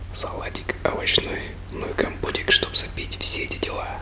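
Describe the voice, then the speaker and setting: Whispering at a fairly slow pace, a man is heard. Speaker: food vlogger. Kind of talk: casual vlog chat. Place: home room. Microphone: phone near.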